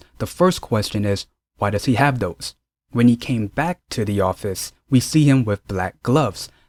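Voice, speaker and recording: In a very clean recording with a silent background and a dry, close sound with no echo, a man with a normal speaking voice talks at a moderate pace, medium in pitch, with lively intonation. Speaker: drama reviewer YouTuber. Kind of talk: casual video review.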